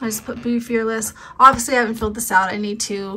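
Fairly quick and fairly even in intonation, a woman with a normal speaking voice talks at a fairly high pitch. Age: 40s. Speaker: homemaking vlogger. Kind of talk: casual vlog talk. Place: home room. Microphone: phone near.

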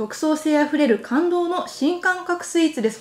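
Cheerful in tone, a woman talks in a high voice with ordinary pitch variation, and audible room echo surrounds her. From Iwaki, Fukushima, Japan. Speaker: TV announcer. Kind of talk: casual on-location quiz segment. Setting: indoors at office, handheld camera. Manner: cheerful, laughs often. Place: office. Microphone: lapel.

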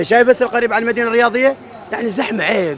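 Crowd noise fills the background of a dry recording with no echo. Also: man. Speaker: interviewee. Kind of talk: interview answer. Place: market. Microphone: handheld.

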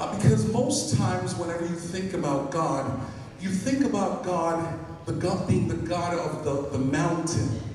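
A man's voice comes through strong room echo and light background noise. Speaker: pastor. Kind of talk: sermon. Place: church.

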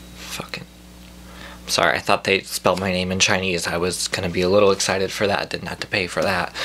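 Over light background noise, a man with a very deep, low pitch talks at a very fast pace. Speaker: comedy vlogger. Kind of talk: angry comic rant, mock-outraged complaint about a food delivery. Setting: video blog, speaking to camera from home. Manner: animated, indignant and exasperated, ranting with stammers and repeats. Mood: exasperated, mocking. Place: home room. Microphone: phone near.

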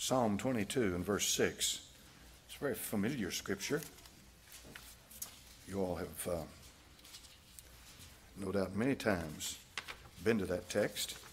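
A man speaks at a fairly slow pace with long, frequent pauses over light background noise. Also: fairly low pitch for a man, ordinary pitch variation. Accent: Southern US. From United States. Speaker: preacher, pastor. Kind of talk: sermon preached to a congregation. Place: church. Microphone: podium.

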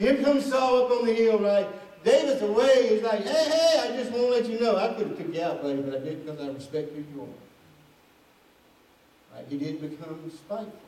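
Over light background noise and audible room echo, a man talks at a fairly quick pace with very wide pitch swings and big swings in loudness. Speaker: preacher. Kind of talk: sermon. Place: church.

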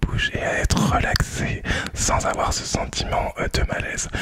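A man is speaking. He is whispering. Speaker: ASMR creator. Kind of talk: casual soft-spoken vlog chat. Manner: soft close-mic ASMR speaking. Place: home room. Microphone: studio mic.

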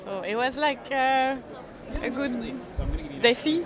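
With faint background noise and faint crowd noise behind her, a woman speaks at a slow pace in a high voice with ordinary pitch variation.

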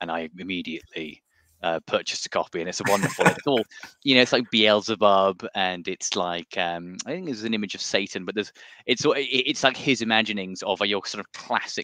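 Bright, sharp tone from a man, at a fairly quick pace with ordinary pitch variation, dry sound with no echo. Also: fairly low pitch for a man, quiet background. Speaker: guest. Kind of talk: interview answer. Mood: enthusiastic, relaxed. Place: home room. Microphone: headset.

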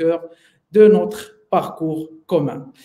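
A man speaks with ordinary pitch variation. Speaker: sales trainer. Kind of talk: webinar presentation. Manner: halting.

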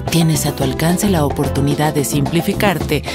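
Clear music in the background, a dry sound with no echo, and a moderate pace. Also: woman. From Mexico. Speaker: voice actor. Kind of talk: TV commercial read. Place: studio.

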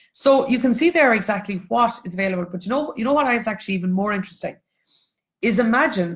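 A woman talks at a very fast pace with a Cork accent. Her voice is somewhat breathy. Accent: Irish (Cork). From Ireland, Cork. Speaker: economics educator and textbook co-author. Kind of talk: online lecture for students and teachers. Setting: Facebook Live stream with screen share.

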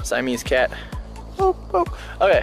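Clear background music under a man's dry, echo-free voice. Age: young. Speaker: vlogger. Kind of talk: casual talk to camera. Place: garden. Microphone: phone near.

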